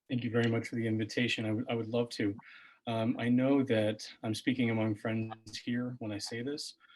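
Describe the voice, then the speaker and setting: Soft-spoken delivery at a fairly quick pace with monotone, flat intonation. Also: man, medium pitch for a man. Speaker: political candidate, physician. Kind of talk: candidate forum answer. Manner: halting.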